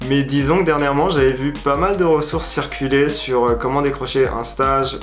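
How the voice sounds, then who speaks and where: A moderate pace, with audible room echo and noticeable background noise. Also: man. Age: 20s. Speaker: venture capital analyst. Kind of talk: casual explainer video. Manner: hesitant, many fillers. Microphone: slight echo, old mic.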